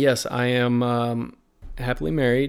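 A man with a slight Southern US accent talks at a fairly slow pace on a very clean recording with a silent background. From Virginia, US. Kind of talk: casual interview chat.

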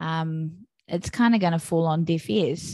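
A woman with a New Zealand accent speaks at a fairly slow pace in a fairly low pitch, her tone dark and mellow. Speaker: podcast host and mother. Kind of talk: casual interview chat.

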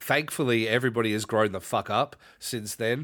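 On a very clean recording with a silent background, a man talks at a medium pitch with fairly even intonation. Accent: Australian. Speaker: podcast host and pro wrestler. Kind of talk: casual chat.

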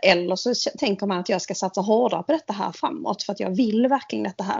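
Somewhat breathy and medium in pitch, a woman talks at a fairly quick pace. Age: 40s. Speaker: podcast co-host. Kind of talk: casual chat.

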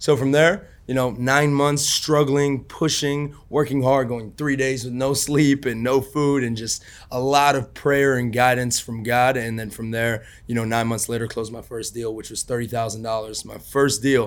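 In a plain, everyday voice, a man speaks at a moderate pace and medium pitch, with fairly even intonation and hardly any pauses. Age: 20s. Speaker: real estate investor. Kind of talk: interview.

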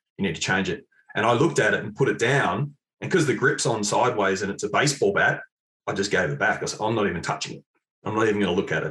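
Talking at a very fast pace, a man speaks in an Australian accent. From Australia, Mount Eliza, Victoria. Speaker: golf club fitting specialist. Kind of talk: casual interview.

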